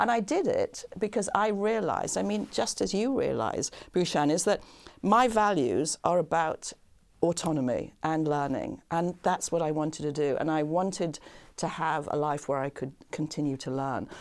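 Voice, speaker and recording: A woman with an unremarkable speaking voice talks at a fairly low pitch with lively intonation. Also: moderate pace. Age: 60s. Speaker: business school professor and author. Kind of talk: podcast interview.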